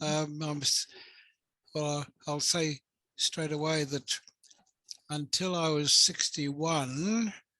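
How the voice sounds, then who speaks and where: A man speaks very slowly with an Australian accent, leaving long, frequent pauses. His fairly high voice has a bright, sharp tone and fairly even intonation, in a dry, close sound with no echo. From rural Australia. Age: 80s+. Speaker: psychotherapist. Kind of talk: interview.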